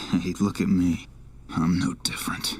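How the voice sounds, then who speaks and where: Over light background noise, a man puts on a raspy character voice with a very deep, low pitch, speaking at a moderate pace. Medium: machinima. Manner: wry, casual.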